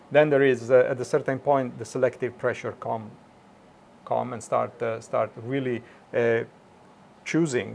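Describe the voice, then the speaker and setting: A man's medium-pitched, monotone, flat voice with an Italian accent, a moderate pace and long, frequent pauses. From Italy (Milan). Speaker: automation engineer. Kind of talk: interview. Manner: halting, many fillers.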